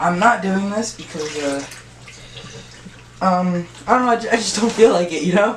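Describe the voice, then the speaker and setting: A woman at medium pitch with ordinary pitch variation, a moderate pace and long, frequent pauses, amid noticeable background noise and audible room echo. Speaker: hobby youtuber. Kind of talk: casual tutorial vlog. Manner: halting, many fillers.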